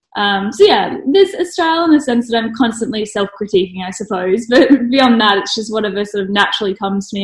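Her medium-pitched voice a little breathy, a woman talks at a fairly quick pace with ordinary pitch variation. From Australia. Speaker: blogger and graphic designer. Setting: video call.

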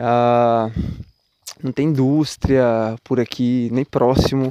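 The voice belongs to a male speaker with a medium pitch. Intonation stays monotone and flat. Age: 30s. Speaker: musician and podcaster. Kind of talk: casual reflective monologue. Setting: outdoors at night, walking, recorded on phone. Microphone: phone microphone.

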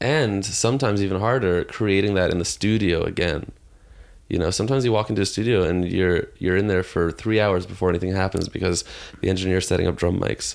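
A man with a Canadian accent speaks at a very fast pace in a very deep, low pitch with ordinary pitch variation. His loudness stays very even, and the recording is very clean with a silent background. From Toronto, Canada. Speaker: rock musician. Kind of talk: casual chat. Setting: home living room studio.

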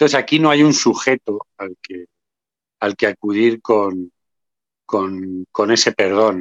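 Speaking very slowly with long, frequent pauses, a man with a fairly low pitch shows ordinary pitch variation and big swings in loudness. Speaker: association president, memory activist. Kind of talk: interview.

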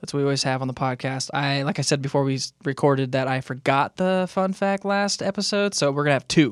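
A man with an American accent, fairly high-pitched, talking very fast with hardly any pauses, ordinary pitch variation, a dry, close sound with no echo, and a very clean recording over a silent background. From Southern California (Moreno Valley). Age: 30s. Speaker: podcast host. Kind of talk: casual interview chat.

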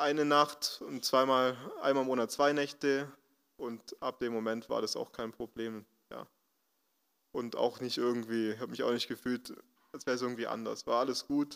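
Leaving long, frequent pauses, a man speaks with medium pitch and monotone, flat intonation. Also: moderate pace. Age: 20s. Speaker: social worker at a job centre. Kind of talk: testimony.

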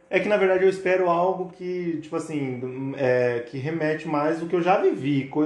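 Audible room echo and noticeable background noise accompany a man speaking at a moderate pace, fairly high in pitch with ordinary variation. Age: 30s. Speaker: barber. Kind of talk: casual chat.

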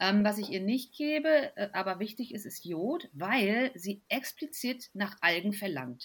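A somewhat breathy woman at a very slow pace, with hardly any pauses and very wide pitch swings. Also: medium pitch for a woman. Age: 40s. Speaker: physician and health blogger. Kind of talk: casual chat.

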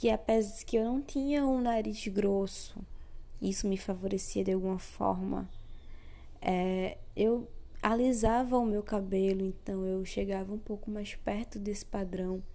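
A woman with a dark, mellow tone and medium pitch talks fairly slowly with fairly even intonation, and room echo is audible. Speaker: podcast host, educator. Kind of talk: solo podcast monologue.

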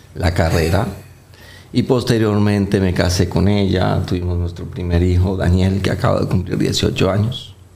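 With audible room echo and noticeable background noise, a man speaks at a very deep, low pitch and a fairly slow pace, keeping very even loudness and fairly even intonation. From Colombia. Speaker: vascular surgeon. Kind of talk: interview. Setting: studio with live set. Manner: halting, frequent fillers.

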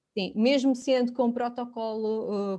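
A dark, mellow tone at a fairly slow pace over a quiet background. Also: woman. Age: 30s. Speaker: finance professional and mother sharing fertility story. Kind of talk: casual interview.

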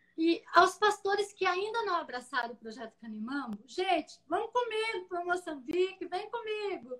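A woman's extremely high-pitched voice at a moderate pace, with very wide pitch swings. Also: hardly any pauses. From rural São Paulo / southern Minas Gerais, Brazil. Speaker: missionary. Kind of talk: interview in a live stream. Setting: online live stream call.

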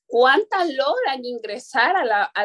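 In a dry, close sound with no echo, a woman with a high pitch speaks at a very slow pace with very wide pitch swings. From Caribbean coast of Honduras. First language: Garifuna (speaking Spanish). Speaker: activist. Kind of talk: interview.

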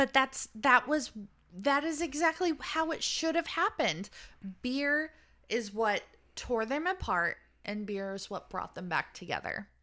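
On a very clean recording with a silent background, a woman with a high-pitched, bright, sharp voice projects it in a raised, animated tone, swinging very widely in pitch at a fairly slow pace. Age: 30s. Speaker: podcast host, book reviewer. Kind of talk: casual chat, book discussion. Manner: animated, excitable.

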